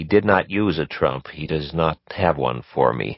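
Vocal fry runs through this man's voice. His pitch is very deep and low. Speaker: author reading own novel. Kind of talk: unabridged audiobook reading.

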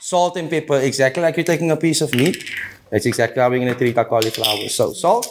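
Very fast speech with lively intonation plays against noticeable background noise. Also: man, fairly high pitch for a man. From Argentina. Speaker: chef; guest. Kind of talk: cooking demonstration. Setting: home kitchen TV set. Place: kitchen.

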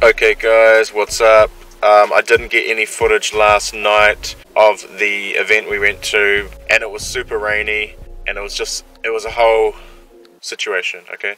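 A man talks at a moderate pace in a dry sound with no echo, with light background noise. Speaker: vlogger. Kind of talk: casual vlog chat. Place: car. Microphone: phone near.

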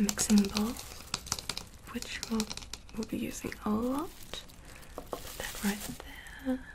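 Against noticeable background noise, a woman speaks at a fairly slow pace with ordinary pitch variation. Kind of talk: soft-spoken roleplay narration. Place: home room.

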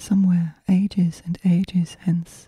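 A soft-spoken woman talks very slowly in a dark, mellow, somewhat breathy tone with monotone, flat intonation. The sound is dry and close, with no echo. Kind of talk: poetry reading.

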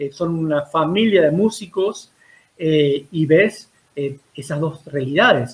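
Speaking at a very slow pace, a man uses a fairly high pitch with ordinary variation. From Argentina, Río Cuarto, Córdoba province; Córdoba, Argentina. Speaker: dance teacher and university culture director; guest. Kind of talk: interview about dance history. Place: home room. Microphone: video call.

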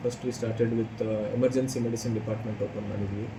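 A man's flat, monotone speech amid noticeable background noise and audible room echo. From Chikkamagaluru, Karnataka, India. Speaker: cardiologist. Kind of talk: interview.

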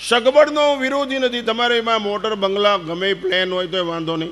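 A man with lively intonation, amid noticeable background noise. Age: 70s. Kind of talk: religious discourse. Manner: animated.

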